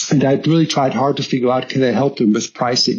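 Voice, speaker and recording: A man speaks with a German accent at a medium pitch. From southern Germany. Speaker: logistics executive. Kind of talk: interview storytelling. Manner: hesitant, many fillers and repetitions.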